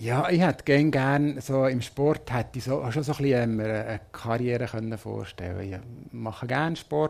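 A man uses a normal speaking voice at a medium pitch with ordinary pitch variation and a moderate pace, on a very clean recording with a silent background. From Switzerland, near Bern (Münsingen). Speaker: marketing manager, former Eurovision delegation lead. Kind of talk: live interview before audience.

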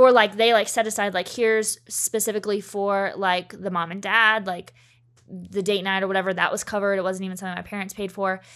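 Medium pitch from a woman, fairly quick and monotone with flat intonation, in a very clean recording with a silent background. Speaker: education worker and blog writer. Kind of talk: casual interview chat.

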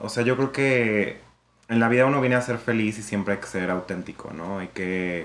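At a moderate pace, a man talks with a fairly low pitch in a normal speaking voice. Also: ordinary pitch variation. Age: 30s. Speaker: communication student and nightclub co-owner. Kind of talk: casual interview testimony.

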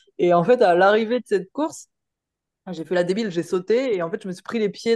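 At a fairly quick pace, a woman speaks at medium pitch with ordinary pitch variation, recorded dry and close with no echo. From Paris region, France. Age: 30s. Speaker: firefighter and amateur triathlete. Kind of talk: casual interview chat.

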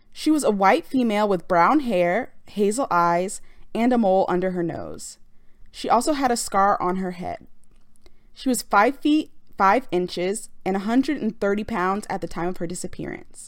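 A woman with a plain, everyday voice talks at a medium pitch and a moderate pace. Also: lively intonation. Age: 20s. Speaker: true crime podcaster. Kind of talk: true crime narration. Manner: casual, conversational.

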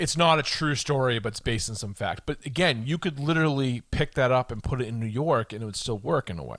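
Very fast and with hardly any pauses, a man with an American accent speaks at medium pitch with ordinary pitch variation. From Boston, Massachusetts. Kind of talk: casual chat.

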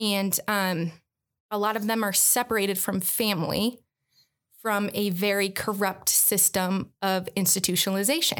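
On a very clean recording with a silent background, a woman with an American accent and a normal speaking voice talks at a moderate pace, her medium pitch for a woman carrying fairly even intonation and very even loudness. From Michigan, Metro Detroit. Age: 20s. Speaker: nonprofit worker. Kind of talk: casual chat.

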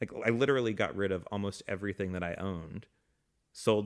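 With an American accent, a man uses an ordinary speaking voice at a fairly quick pace and fairly even intonation, on a very clean recording with a silent background. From Atlanta, Georgia, US. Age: 30s. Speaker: nomad living in an RV. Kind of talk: casual chat.

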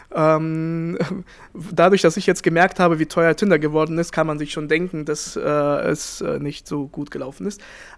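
Words come with hardly any pauses. The overall speed is fairly slow. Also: man, fairly high pitch for a man, fairly even intonation. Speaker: podcast co-host. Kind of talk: casual chat.

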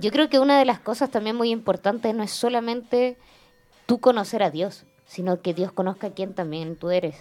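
With lively intonation and a moderate pace, a woman speaks in a fairly high voice. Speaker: church member. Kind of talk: testimony.

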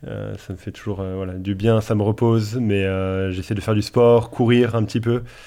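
With a plain, everyday voice, a man speaks at a moderate pace and fairly low pitch, with fairly even intonation and hardly any pauses, in a very clean recording with a silent background. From Paris region, France. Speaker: pastor and theology author. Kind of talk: casual theological discussion.

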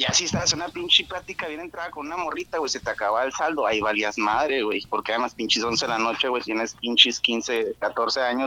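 In a northern Mexican accent, a man talks at a fairly quick pace. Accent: northern Mexican (Monterrey). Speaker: podcast caller. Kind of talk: casual chat. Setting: remote call.

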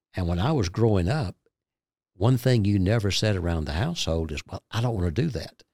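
Over a silent background in a very clean recording, a man with a Southern US accent talks at a fairly quick pace, his fairly low voice dark and mellow in tone, with lively intonation. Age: 60s. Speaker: ministry guest, Gideons member. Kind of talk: testimony, interview.

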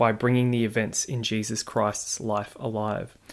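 Medium-pitched man with an Australian accent at a moderate pace, on a very clean recording with a silent background. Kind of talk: monologue reading listener feedback. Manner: warm, earnest, conversational.

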